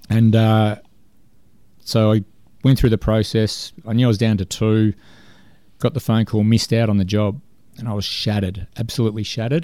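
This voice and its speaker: Fairly quick Australian-accented male speech with a fairly low pitch, a dark, mellow tone, fairly even intonation and long, frequent pauses, on a very clean recording with a silent background. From Melbourne's west, Australia. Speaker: sports director and coach. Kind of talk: interview.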